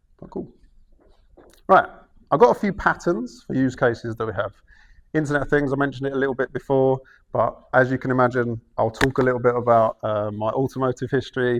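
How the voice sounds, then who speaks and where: A man with a Cockney accent talks at a fairly quick pace but with long, frequent pauses, against a quiet background. His pitch is medium, with ordinary variation. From London, England. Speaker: cloud engineering manager. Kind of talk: conference talk. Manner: fast; hesitant fillers.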